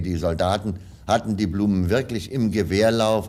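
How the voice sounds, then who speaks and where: This man keeps a moderate pace while noticeable background noise carries on. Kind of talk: archival reminiscence, newsreel-style recollection.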